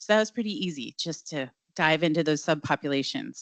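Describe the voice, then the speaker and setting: A woman speaks very fast in a very deep, low voice with vocal fry and ordinary pitch variation. The sound is dry and close with no echo, over a quiet background. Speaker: data platform presenter. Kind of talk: product demo presentation. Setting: launch event with live audience.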